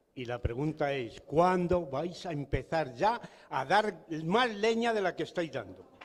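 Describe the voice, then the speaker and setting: Lively in intonation, a man speaks at a fairly slow pace with a high pitch. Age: 70s. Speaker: audience member. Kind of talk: audience question at political event. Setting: public political event. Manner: forceful.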